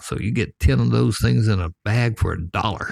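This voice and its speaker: In a Southern US accent, a man talks at a moderate pace in a fairly low, somewhat breathy voice with a relaxed tone and very wide pitch swings, the sound dry and close with no echo. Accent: Southern US (Georgia). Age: 70s. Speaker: storyteller. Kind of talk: storytelling. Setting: back porch. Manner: relaxed, folksy.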